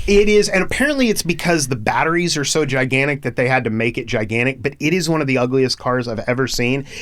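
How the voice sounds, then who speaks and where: Someone with an American accent talks at a very fast pace with lively intonation and hardly any pauses. Noticeable background noise runs under the speech. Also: man, medium pitch for a man. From Oklahoma. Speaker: podcast host. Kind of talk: casual interview chat. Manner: loud.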